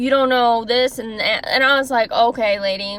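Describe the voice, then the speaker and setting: A woman speaks loudly. Her pitch is high. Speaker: former caregiver, vlogger. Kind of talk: storytime monologue. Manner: animated.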